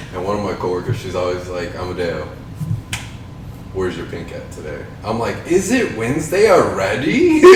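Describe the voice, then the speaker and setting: Big swings in loudness mark a man's speech at a moderate pace, with noticeable background noise and audible room echo. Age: 20s. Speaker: podcast co-host. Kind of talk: casual chat. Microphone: poor audio quality.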